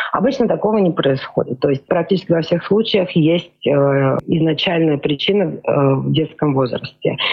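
Lively intonation at a moderate pace, very even in loudness, over noticeable background noise. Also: woman, fairly low pitch for a woman. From Georgia. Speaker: psychodiagnostician. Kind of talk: radio interview.

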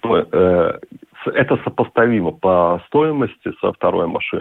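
A man talks at a very slow pace. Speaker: yachtsman and businessman. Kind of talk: radio interview.

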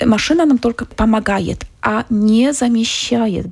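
Using vocal fry at a fairly slow pace, a woman talks with a fairly high pitch and a slightly mellow tone. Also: ordinary pitch variation.

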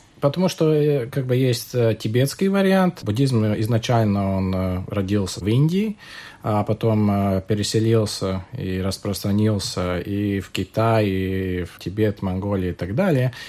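A man's fairly low voice at a very slow pace, ordinary pitch variation, very clean recording with a silent background. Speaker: Buddhist practitioner. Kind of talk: radio panel discussion.

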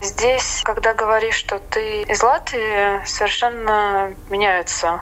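Fairly even intonation at a very slow pace over noticeable background noise. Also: woman. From Latvia, Riga. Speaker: expat in tourism. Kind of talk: interview.

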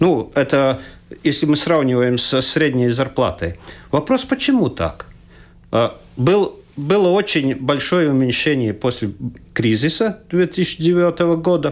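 A man talks at a very slow pace in a fairly high pitch, leaving long, frequent pauses. His intonation is lively and his loudness stays very even. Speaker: economist, former finance minister. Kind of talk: radio panel discussion. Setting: radio studio. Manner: halting.

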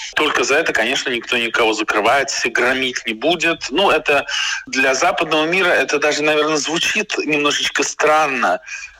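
Over noticeable background noise, a man speaks at a fairly high pitch with very even loudness. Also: ordinary pitch variation, moderate pace. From Moscow, Russia. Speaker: writer and journalist. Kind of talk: interview. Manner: hesitant fillers.

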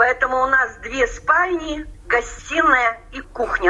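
Fairly slow speech from a woman against noticeable background noise. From Russian Far East, Amur region. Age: 60s. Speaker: emigrant pensioner-to-be, former English teacher. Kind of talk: interview.

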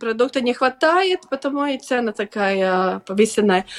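A woman speaks at a high pitch with a Latvian accent, her pitch moving in an ordinary way. Her pace is very slow, and the sound is dry and close with no echo. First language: Latvian (speaking Russian). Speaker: farmers' organization deputy chair. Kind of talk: radio interview. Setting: video call. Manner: halting.

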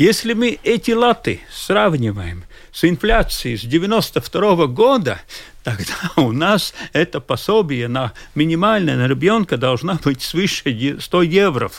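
A man with a Latvian accent, fairly high in pitch, at a very slow pace, with vocal fry and very wide pitch swings. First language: Latvian (speaking Russian). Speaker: social policy expert. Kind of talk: radio discussion. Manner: halting.

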